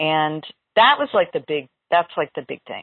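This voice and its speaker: A woman speaks with an unremarkable speaking voice, pitched fairly low. Her intonation is lively. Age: 50s. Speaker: community organizer and visual designer. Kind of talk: casual chat.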